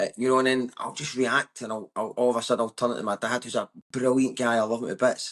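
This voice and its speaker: Against a quiet background, a man in a West of Scotland accent talks at a very fast pace with hardly any pauses, in a dry, close sound with no echo. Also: medium pitch for a man. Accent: West of Scotland Scottish. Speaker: comedian. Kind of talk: casual chat. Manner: loud; animated.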